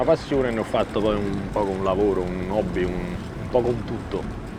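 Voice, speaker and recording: Male speech in a room with audible echo, music playing behind it. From Naples, Italy. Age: 30s. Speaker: sailboat skipper. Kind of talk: documentary interview. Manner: reflective, with hesitations.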